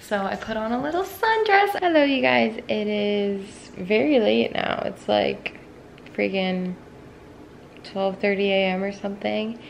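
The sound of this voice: With vocal fry and a fairly slow pace, a woman speaks over faint background noise. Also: medium pitch for a woman, lively intonation.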